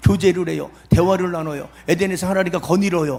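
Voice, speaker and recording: The man talks fairly quickly in a high voice whose pitch moves normally. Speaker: pastor. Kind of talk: sermon. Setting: revival meeting at prayer retreat with audience. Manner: fast; animated, emphatic.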